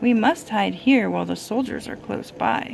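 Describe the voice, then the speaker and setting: Clear background noise runs behind a put-on character voice delivered at a moderate pace. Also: female-sounding voice. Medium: read story.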